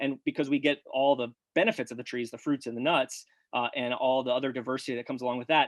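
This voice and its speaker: A man's medium-pitched voice at a very fast pace. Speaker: farmer and grazing researcher. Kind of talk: webinar presentation. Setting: live webinar. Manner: animated.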